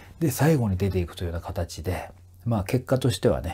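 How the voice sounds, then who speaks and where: On a very clean recording with a silent background, a man with a dark, mellow, somewhat breathy tone speaks at a moderate pace with ordinary pitch variation. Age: 40s. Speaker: vocal trainer and YouTuber. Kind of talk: casual monologue. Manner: polite, filler-heavy.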